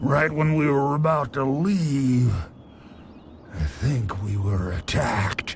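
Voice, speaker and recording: A man puts on a character voice at a fairly slow pace, his pitch medium, with clear background noise behind him. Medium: video game. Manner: rambling, good-humored, polite.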